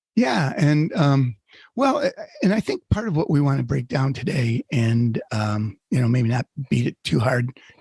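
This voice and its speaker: Somewhat breathy and medium in pitch, a man speaks at a moderate pace, the sound dry and close with no echo. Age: 60s. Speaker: podcast co-host. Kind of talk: casual chat. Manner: hesitant, many fillers.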